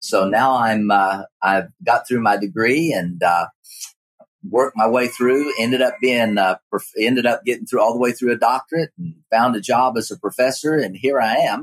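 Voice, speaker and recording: Intonation is lively, in an Appalachian accent at a moderate pace. The sound is dry and close with no echo. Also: man, medium pitch for a man. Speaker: geology professor. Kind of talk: interview.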